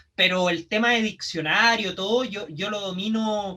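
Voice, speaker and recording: A man with a Chilean accent, a raised, projected voice at a high pitch, fairly even intonation and a fairly slow pace, amid noticeable background noise. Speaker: professional wrestler. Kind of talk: casual chat.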